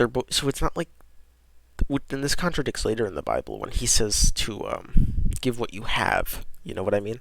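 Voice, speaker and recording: Quietly and at a moderate pace, a man is talking. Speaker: podcast host. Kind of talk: reading aloud with casual commentary.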